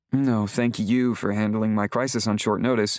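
A man speaks in a put-on character voice at medium pitch. His intonation is monotone and flat, and his pace is moderate. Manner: polished, composed.

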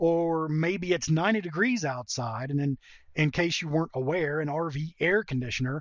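Here a man speaks with an American accent. His pitch is fairly high, and it varies in an ordinary way. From North Georgia, US South. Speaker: podcast host, online marketer. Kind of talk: podcast intro/monologue. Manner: conversational, informal.

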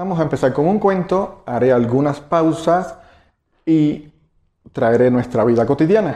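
A man's fairly high-pitched voice with a Cuban accent, dark and mellow in tone, fairly slow, with long, frequent pauses, lively intonation, very even loudness and audible room echo. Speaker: meditation teacher. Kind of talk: lecture. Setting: stage with audience.

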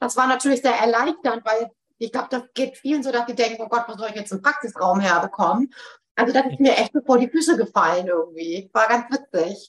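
A fairly high woman's voice with lively intonation at a fairly quick pace. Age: 40s. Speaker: psychotherapy practitioner. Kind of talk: interview. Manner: frequent filler hesitations.

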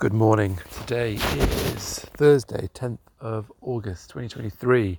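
Speaking at a very slow pace in a British accent, a man with a fairly low pitch uses a relaxed tone and ordinary pitch variation. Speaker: podcaster. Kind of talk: casual monologue. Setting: outdoors. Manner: relaxed, rambling pace.

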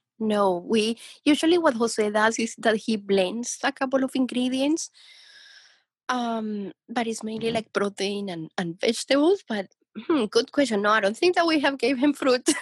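The speaker has a Spanish accent and keeps a moderate pace. The sound is dry and close, with no echo. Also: woman, fairly high pitch for a woman, lively intonation. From Colombia, Bogota. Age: young. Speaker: dog owner. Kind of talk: casual chat.

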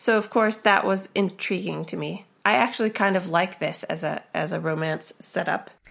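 This very clean recording with a silent background has a woman speaking at a moderate pace with hardly any pauses. Her medium pitch shows ordinary variation and some vocal fry. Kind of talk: casual chat, podcast discussion. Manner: warm, animated, chatty.

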